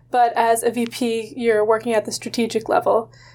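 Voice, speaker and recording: Fairly high in pitch, a woman speaks with an American accent at a moderate pace. Hers is a plain, everyday voice. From Massachusetts. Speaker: college student interviewer. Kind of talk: interview.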